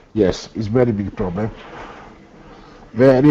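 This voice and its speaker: With noticeable background noise behind him, a man talks at a moderate pace and medium pitch. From Italy. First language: Italian. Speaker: filmmaker and author. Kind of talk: interview. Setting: call. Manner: halting; animated.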